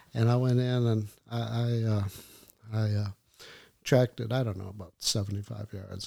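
A man with an American accent talks in a fairly low, somewhat breathy voice with fairly even intonation. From Upper Peninsula of Michigan. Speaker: hunter, host's father. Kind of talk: casual chat.

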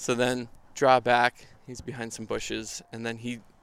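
Here a man is talking. He speaks with an Upper Midwest accent. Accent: Upper Midwest American. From Minnesota. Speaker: photographer. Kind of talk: casual chat. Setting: outdoors around a bonfire.

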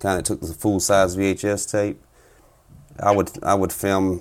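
A man's very deep, low voice at a moderate pace. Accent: South Carolina. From US South, South Carolina. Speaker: turkey hunter and competition caller. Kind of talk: casual interview.

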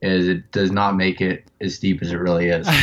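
A man speaks in a Pennsylvania accent. His pitch is fairly low. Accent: Pennsylvania American. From North Central Pennsylvania. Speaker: elk hunter. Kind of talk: casual interview. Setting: phone call.

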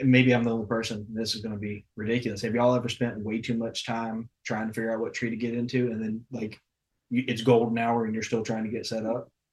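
Medium-pitched and monotone, a man talks with flat intonation in a Southern US accent. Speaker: outdoor podcast host. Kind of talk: casual chat. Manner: stutter.

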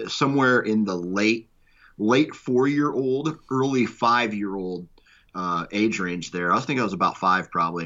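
This is a plain, everyday voice with an American accent. Its pitch varies in an ordinary way. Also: man. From Iowa, US Midwest. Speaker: podcast network founder. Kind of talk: casual chat.

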